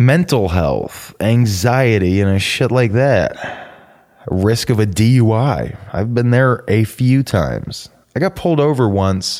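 Loudness stays very even. The pace is very slow. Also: man, medium pitch for a man, lively intonation. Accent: American. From US South, suburban Atlanta, Georgia. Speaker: podcast host. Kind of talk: casual personal monologue.

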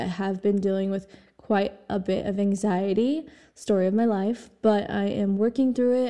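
Her voice is an unremarkable speaking voice, set at a medium pitch. The woman talks at a moderate pace. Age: 20s. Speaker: podcast host. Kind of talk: solo monologue podcast.

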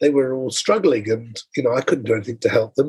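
Somewhat breathy, a man's voice sits fairly high in pitch. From Wales. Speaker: travel media entrepreneur. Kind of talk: interview. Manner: repeats words when speaking.

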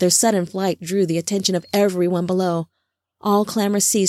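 The reading aloud is done in a natural voice. Behind it, the background stays quiet.

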